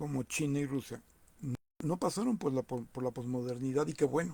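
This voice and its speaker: Somewhat breathy, a man's voice moves through ordinary pitch variation. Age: 60s. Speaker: political commentator. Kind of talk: monologue commentary. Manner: halting, many repetitions.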